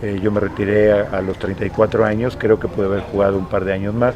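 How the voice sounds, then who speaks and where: A man's fairly low-pitched, monotone, flat delivery at a very fast pace, with noticeable background noise. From Mexico, Morelos. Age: 60s. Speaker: retired football goalkeeper. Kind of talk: interview. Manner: halting.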